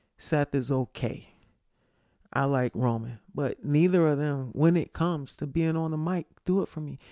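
A man with a fairly high pitch speaks at a moderate pace, with ordinary pitch variation and an ordinary speaking voice. The very clean recording has a silent background and a dry, close sound with no echo. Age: 40s. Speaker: sports podcast host. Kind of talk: casual solo commentary.

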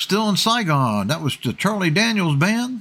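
A man speaks at a fairly slow pace with very wide pitch swings. The recording is very clean, with a silent background. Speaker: radio host. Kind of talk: radio DJ patter, upbeat classic-rock show banter with song recaps and sign-off. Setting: radio studio broadcast. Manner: animated, chatty, enthusiastic.

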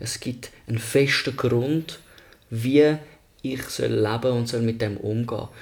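The speech moves very slowly, with intonation that stays fairly even. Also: man, medium pitch for a man. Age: 30s. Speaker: podcast co-host. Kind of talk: casual chat. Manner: halting.

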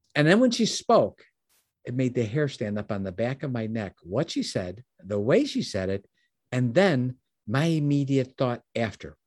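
A man with an unremarkable speaking voice talks at a moderate pace and medium pitch with lively intonation, the sound dry and close with no echo against a quiet background. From US Midwest. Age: 60s. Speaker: business mentor and founder.

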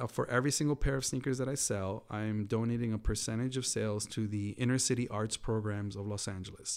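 A man speaks in a normal speaking voice with an American accent, pitched at medium with fairly even intonation. The recording is very clean, with a silent background. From US Northeast, Queens, New York. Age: 40s. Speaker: sneaker designer and entrepreneur. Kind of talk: interview.

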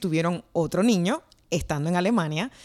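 At a fairly slow pace, a woman talks in an ordinary speaking voice with lively intonation. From Puerto Rico. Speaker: podcast host and journalist. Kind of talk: casual interview. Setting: remote call across time zones.

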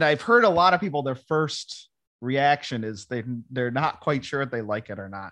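The voice, with an American accent, has a bright, sharp tone and big swings in loudness. The background is quiet. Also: man, fairly high pitch for a man, lively intonation, moderate pace. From western New York (Ransomville, near Lewiston). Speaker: actor. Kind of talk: casual interview.

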